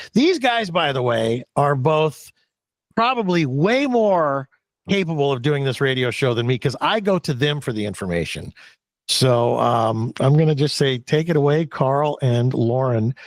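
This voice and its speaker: The recording is very clean, with a silent background. A man with a fairly high pitch speaks slowly-ish in a normal speaking voice, his intonation lively. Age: 60s. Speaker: longtime radio show host and rancher. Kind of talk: casual chat.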